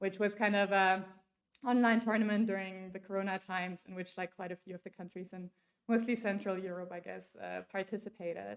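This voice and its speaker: Flat and monotone, a woman with a German accent talks at medium pitch and a fairly quick pace with big swings in loudness. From Germany. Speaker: workshop speaker. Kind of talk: conference talk. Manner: casual, many fillers.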